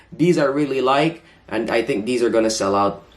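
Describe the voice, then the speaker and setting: A man with lively intonation, music playing in the background. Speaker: sneaker YouTuber. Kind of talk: casual vlog talk. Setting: home room with dimmed lights and projector. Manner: fast.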